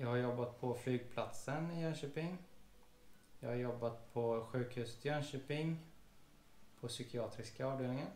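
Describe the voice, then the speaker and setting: A somewhat breathy voice with fairly even intonation leaves long, frequent pauses amid audible room echo. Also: man, medium pitch for a man, moderate pace. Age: 30s. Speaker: police officer and vlogger; vlogger. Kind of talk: casual chat. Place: home room. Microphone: camera far.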